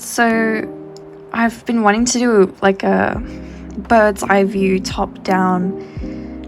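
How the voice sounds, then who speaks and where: A soft-spoken woman at a medium pitch with ordinary pitch variation, with music in the background. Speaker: artist. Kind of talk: casual sketchbook flip-through commentary.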